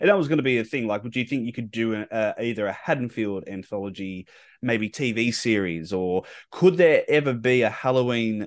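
Against a quiet background, a man speaks with an Australian accent. His pace is fairly quick and his intonation lively. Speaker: podcast host. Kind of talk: casual interview. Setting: remote call. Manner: halting, many fillers.

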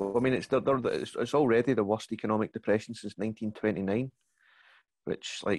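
In a Glaswegian accent, a man talks at a medium pitch with fairly even intonation, the sound dry and close with no echo. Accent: Glaswegian Scottish. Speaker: comedian. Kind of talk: casual chat. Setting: video call.

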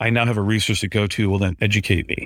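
The man's delivery is very fast. His pitch shifts in an ordinary way. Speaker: university IT director. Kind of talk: casual chat. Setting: in person at trade conference. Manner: loud.

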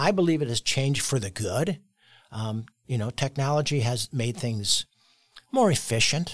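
A man talks at a moderate pace with lively intonation, a somewhat breathy voice and long, frequent pauses. The sound is dry and close with no echo, on a very clean recording with a silent background. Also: medium pitch for a man. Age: 60s. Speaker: real estate broker. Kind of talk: interview conversation.

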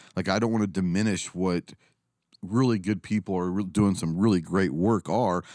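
Speaking at a fairly quick pace in a Texan accent, a man uses a very deep, low pitch with ordinary pitch variation, recorded very cleanly against a silent background with a dry, close sound and no echo. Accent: Texan American. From Texas, Dallas area. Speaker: firearms business owner and YouTuber, Marine veteran. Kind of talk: casual interview chat.

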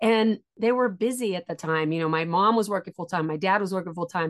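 In an ordinary speaking voice, a woman of medium pitch talks at a moderate pace with ordinary pitch variation. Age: 50s. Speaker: educational psychologist and author. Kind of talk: interview about personal trauma.

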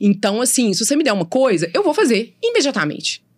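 Speaking at a very fast pace, a woman rushes through her words. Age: 40s. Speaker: lawyer. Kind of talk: interview.

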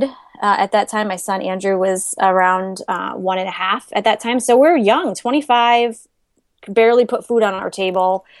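Moderate in pace with ordinary pitch variation, this is a normal speaking voice. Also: woman. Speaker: money-saving blogger. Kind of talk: interview.

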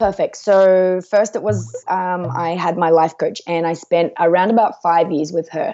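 A woman's ordinary speaking voice, fairly low in pitch with ordinary pitch variation, at a fairly slow pace with hardly any pauses. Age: 30s. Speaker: author and life coach. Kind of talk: interview. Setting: remote call at night without power.

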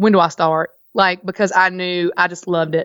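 In a strong Southern US accent, a woman speaks at a moderate pace and medium pitch, her tone bright, sharp, energetic, and animated, on a very clean recording with a silent background and a dry, close sound with no echo. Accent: thick Southern US. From Virginia, US South. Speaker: farmers market manager and farmer. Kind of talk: casual interview chat. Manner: energetic, animated.

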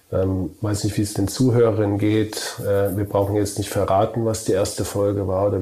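A man speaks in monotone, flat intonation with very even loudness and hardly any pauses. Noticeable background noise is present. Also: fairly low pitch for a man, moderate pace. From Germany, Kurpfalz. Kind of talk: casual chat.

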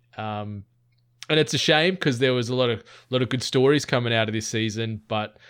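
An Australian accent at a fairly quick pace, on a very clean recording with a silent background. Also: man. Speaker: podcast co-host. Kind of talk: casual chat.

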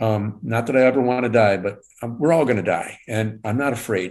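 A man with a Michigan accent, fairly low in pitch, at a moderate pace. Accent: US Midwest (Michigan). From Michigan, Detroit suburbs. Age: 60s. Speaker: cancer survivor. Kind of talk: interview. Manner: halting, many fillers.

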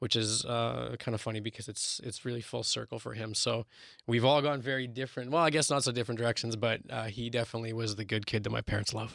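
Speaking at a very fast pace with a Canadian accent, this voice keeps a fairly even intonation over a very clean recording with a silent background. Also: man, medium pitch for a man. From Winnipeg, Canada. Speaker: marketing professional and TV style host. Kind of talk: interview.

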